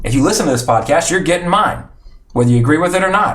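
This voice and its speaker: There is noticeable background noise and audible room echo in this clip. The voice belongs to a man. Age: 30s. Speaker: podcast host. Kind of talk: casual chat.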